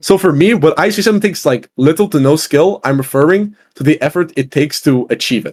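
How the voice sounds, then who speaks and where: A man with a non-native accent at a very fast pace, fairly high-pitched and animated, with lively intonation and hardly any pauses. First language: not English. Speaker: podcast guest, gamer. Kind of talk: casual debate.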